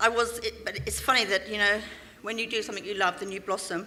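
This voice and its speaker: With a London accent, this voice has a bright, sharp tone and a fairly quick pace. The intonation stays monotone and flat. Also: woman. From London, England. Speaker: business speaker. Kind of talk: motivational talk.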